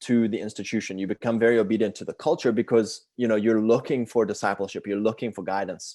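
A man speaks with a South African accent. His pitch is medium and the background is quiet. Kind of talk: casual interview chat.

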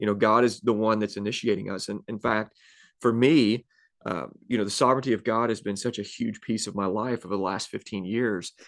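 Here a man talks at a fairly quick pace in a normal speaking voice, fairly low in pitch with fairly even intonation, over a quiet background. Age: 30s. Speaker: pastor and podcast host. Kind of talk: casual conversational interview.

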